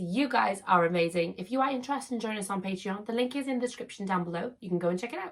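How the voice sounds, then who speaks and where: Talking at a very fast pace, a woman uses a fairly high voice with lively intonation. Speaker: YouTuber, collector. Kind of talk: casual vlog Q&A.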